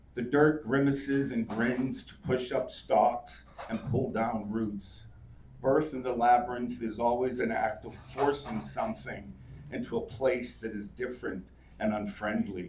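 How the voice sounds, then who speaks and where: A man's fairly slow voice with vocal fry, big swings in loudness, ordinary pitch variation and audible room echo. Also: medium pitch for a man. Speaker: poet. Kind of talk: casual remarks to audience; poetry reading. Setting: live reading with audience.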